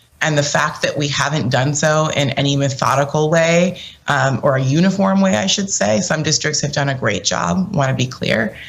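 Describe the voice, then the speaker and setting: This woman's voice sits very deep and low, with vocal fry. Her pitch swings very widely. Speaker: political commentator. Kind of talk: panel discussion.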